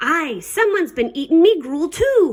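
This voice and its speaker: This is a put-on character voice with a growling sound. The pace is moderate. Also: woman, extremely high pitch for a woman. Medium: read story. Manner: growling, grumbling.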